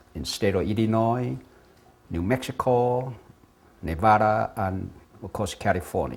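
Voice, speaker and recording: Speaking at a fairly slow pace with ordinary pitch variation, a man talks in a Taiwanese accent. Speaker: structural engineer and independence activist. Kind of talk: talk on political history.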